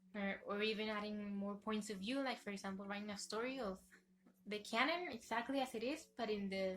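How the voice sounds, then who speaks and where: A woman speaks at a fairly high pitch with music playing in the background. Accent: non-native. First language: not English. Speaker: YouTuber, fan fiction reviewer. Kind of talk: casual video review. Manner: halting, self-correcting.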